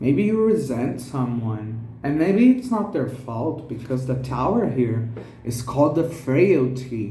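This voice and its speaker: A man speaks at a very slow pace with lively intonation. There is audible room echo. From Brazil. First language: Portuguese. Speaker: tarot reader. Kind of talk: tarot reading.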